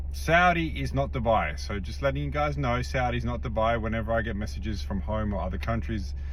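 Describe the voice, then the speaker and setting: A man with an Australian accent talks at a very fast pace, with hardly any pauses and ordinary pitch variation. His pitch is very deep and low, and noticeable background noise is present. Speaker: personal trainer and nutritionist vlogger. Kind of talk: casual vlog monologue. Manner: casual, hesitant with many fillers.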